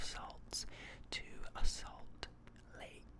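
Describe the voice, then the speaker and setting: Whispering over noticeable background noise. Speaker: ASMR creator. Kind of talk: ASMR trigger words with geology explanations. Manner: whispered.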